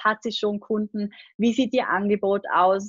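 A woman's ordinary speaking voice at medium pitch, fairly even intonation, and a dry, close sound with no echo. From Austria, Vorarlberg (Lake Constance). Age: 20s. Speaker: online business coach and agency owner. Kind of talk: podcast interview.

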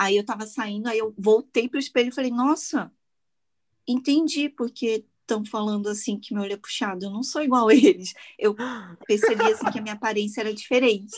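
A woman's fairly high, somewhat breathy voice at a fairly quick pace with ordinary pitch variation and long, frequent pauses, set against a quiet background. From Brazil, Petrópolis (Rio de Janeiro state). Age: 30s. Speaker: makeup artist and content creator. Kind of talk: casual chat.

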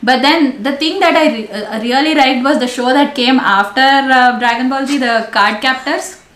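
A woman with a high voice speaks with ordinary pitch variation and hardly any pauses, over noticeable background noise. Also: moderate pace. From India, Delhi. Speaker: travel YouTuber. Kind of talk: casual chat. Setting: video call.

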